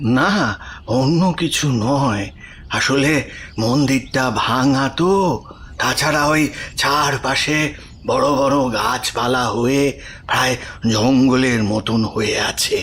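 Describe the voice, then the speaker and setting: A man performs a put-on character voice at a medium pitch with ordinary pitch variation and very even loudness. He goes at a very slow pace, with clear background noise behind him. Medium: audio drama. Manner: grave, hesitant.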